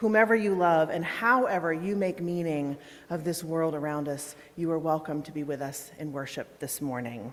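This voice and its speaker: A woman's booming voice carries a calm, soothing tone at a fairly low pitch. Her intonation is lively, and the room echo is audible. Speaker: minister. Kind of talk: guided breathing; worship service welcome. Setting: church sanctuary with congregation, also streamed on Zoom. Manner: calm and soothing.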